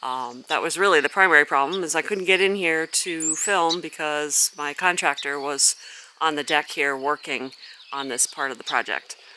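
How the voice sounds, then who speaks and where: A woman's very deep, low-pitched mumbling at a moderate pace, with ordinary pitch variation and noticeable background noise. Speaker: gardener and channel host. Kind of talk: garden walk-through vlog. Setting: outdoors in a garden. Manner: mumbling a little; casual with frequent fillers.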